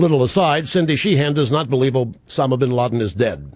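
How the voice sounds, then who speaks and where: Pitched fairly high, a man speaks at a moderate pace. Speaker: talk radio host. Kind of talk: political talk radio monologue. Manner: opinionated, sarcastic, emphatic.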